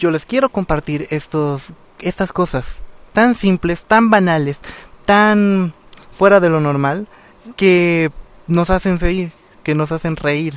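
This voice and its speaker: A man's high voice at a very slow pace, with ordinary pitch variation and long, frequent pauses. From Mexico, Guerrero. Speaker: radio host. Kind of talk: casual radio talk. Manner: animated.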